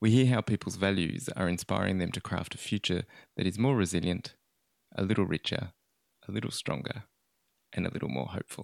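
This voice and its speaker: With an Australian accent and vocal fry, this speaker moves at a fairly quick pace with lively intonation and long, frequent pauses, on a very clean recording with a silent background. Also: man, very deep, low pitch for a man, dry, close sound with no echo. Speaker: podcast host and library officer. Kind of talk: scripted narration.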